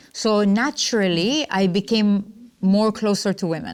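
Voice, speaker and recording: A woman talks at a medium pitch, and the recording is very clean with a silent background. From UAE (Dubai, Ajman). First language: Arabic. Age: 30s. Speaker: entrepreneur and coach. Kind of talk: interview.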